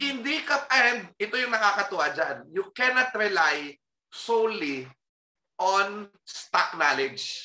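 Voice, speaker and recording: This man's raised, projected voice is high and bright with a sharp edge, moving at a very slow pace through very wide pitch swings. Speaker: historian and professor. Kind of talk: casual chat.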